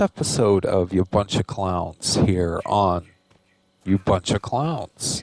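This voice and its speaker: Quietly and at a very slow pace, a man speaks with lively intonation. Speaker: gaming youtuber. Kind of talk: gameplay commentary.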